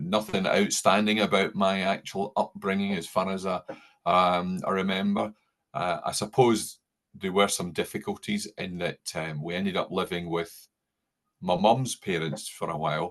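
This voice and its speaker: This is a man with a very deep, low pitch. He talks at a moderate pace with fairly even intonation. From Scotland, Paisley near Glasgow. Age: 60s. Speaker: former air force member and town councillor. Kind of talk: interview conversation. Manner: halting, many fillers.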